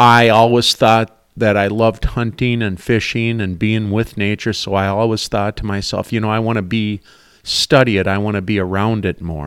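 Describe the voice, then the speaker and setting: A man talks at a moderate pace with a fairly low pitch and fairly even intonation. The recording is very clean, with a silent background. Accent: Upper Midwest. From Minnesota, St. Cloud area. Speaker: small business owner. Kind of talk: casual interview.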